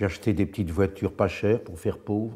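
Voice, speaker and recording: Very deep and low, a man's voice carries a dark, mellow tone with fairly even intonation. The recording is very clean, the background silent. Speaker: actor. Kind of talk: interview.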